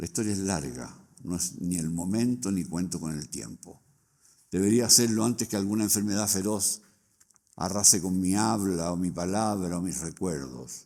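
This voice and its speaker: At a moderate pace, a man with a very deep, low pitch and a dark, mellow tone speaks with lively intonation. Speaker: book launch speaker. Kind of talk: reading aloud. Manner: formal.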